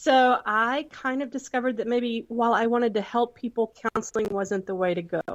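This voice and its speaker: A woman with a Southern US accent, fairly high-pitched with ordinary pitch variation, at a fairly quick pace. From Texas. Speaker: entrepreneur, former counselor. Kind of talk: podcast interview.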